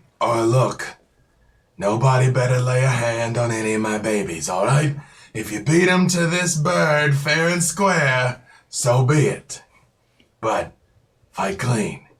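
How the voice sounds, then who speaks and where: A man uses a booming, put-on character voice at a medium pitch. He goes at a fairly slow pace with long, frequent pauses. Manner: protective, firm.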